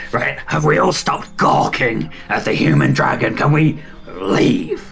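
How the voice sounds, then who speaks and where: Growling in a put-on character voice at a very deep, low pitch, a man speaks at a fairly slow pace with very wide pitch swings and very even loudness, over clear background noise. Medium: actual play. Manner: brash, profane.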